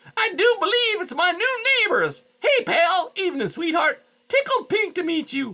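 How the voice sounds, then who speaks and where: This put-on character voice sits at an extremely high pitch and moves at a moderate pace. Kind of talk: folksy, chatty. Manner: loud, jovial, friendly.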